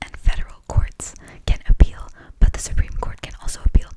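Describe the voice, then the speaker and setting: The voice is whispering. Noticeable background noise can be heard. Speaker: student. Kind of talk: study lecture ramble. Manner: whispered.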